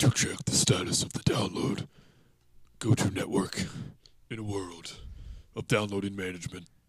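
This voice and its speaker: A man in a put-on character voice, fairly low-pitched, at a moderate pace with long, frequent pauses. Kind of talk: dramatic announcer delivery.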